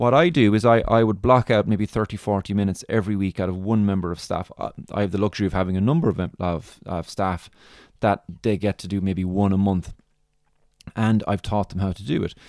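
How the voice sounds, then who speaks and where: In an Irish accent, a man speaks at a fairly quick pace and fairly low pitch with ordinary variation, in a very clean recording with a silent background and a dry, close sound with no echo. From Ireland. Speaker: podiatrist and business mentor. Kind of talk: solo podcast monologue, tutorial. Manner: informal, filler words, explanatory.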